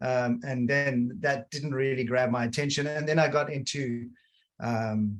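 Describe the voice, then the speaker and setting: A somewhat breathy, medium-pitched male voice. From South Africa, Cape Town. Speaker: design leader. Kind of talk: webinar conversation.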